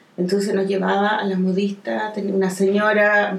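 A woman with a Chilean accent at a moderate pace, with noticeable background noise. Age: 40s. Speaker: comic artist. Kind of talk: casual chat.

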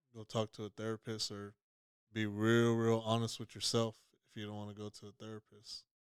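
Fairly low in pitch, a man speaks at a fairly quick pace with monotone, flat intonation. His loudness swings widely, and the sound is dry and close with no echo. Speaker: podcast co-host. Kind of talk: casual chat. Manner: sounds blunt, mean-toned.

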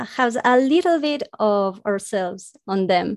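This voice in a Spanish accent comes at a very slow pace with ordinary pitch variation over a quiet background. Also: woman. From South America. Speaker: webcomic creator and animator. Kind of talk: casual interview chat. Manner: halting, laughs often.

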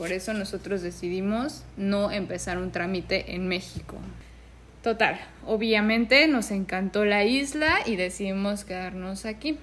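Here is a woman with a normal speaking voice at a medium pitch. Her pace is fairly slow, with ordinary pitch variation. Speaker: podcast co-host. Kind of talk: casual chat.

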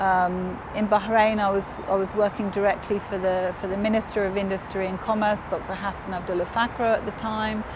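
Over noticeable background noise, a woman with a southern English accent talks at a moderate pace and medium pitch, her intonation monotone and flat, with hardly any pauses. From southern England (Hove, Brighton). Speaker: business executive. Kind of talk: interview. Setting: on location in Dubai.

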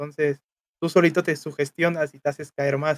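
With a Mexican accent, a man speaks at a moderate pace in a dry, close recording with no echo. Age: 20s. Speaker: streamer and student. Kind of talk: casual chat.

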